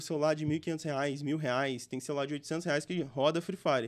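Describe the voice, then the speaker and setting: The background stays quiet. The speaker talks fairly quickly, with pitch varying in an ordinary way. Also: man. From interior of Espírito Santo, Brazil. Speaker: gaming entrepreneur; podcast guest. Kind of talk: interview. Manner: casual, slangy. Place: studio. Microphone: studio mic.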